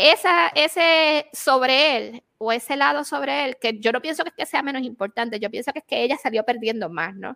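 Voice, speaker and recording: A woman's raised, projected voice, high-pitched, bright and sharp, with lively intonation at a moderate pace, in a dry, close sound with no echo. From Puerto Rico. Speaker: podcast co-host. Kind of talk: casual chat.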